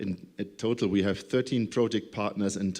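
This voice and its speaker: A man's fairly low voice in a German accent, dark and mellow in tone, with fairly even intonation at a moderate pace. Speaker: project coordinator. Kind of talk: conference presentation. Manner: halting.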